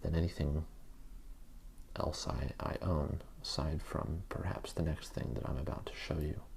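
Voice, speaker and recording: A man speaks fairly slowly in a relaxed tone, with vocal fry. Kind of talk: ASMR show and tell, soft-spoken relaxation talk. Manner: soft-spoken, slow, relaxed.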